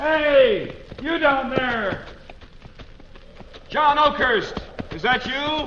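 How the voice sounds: A man's put-on character voice, extremely high in pitch and very slow, with lively intonation and faint background noise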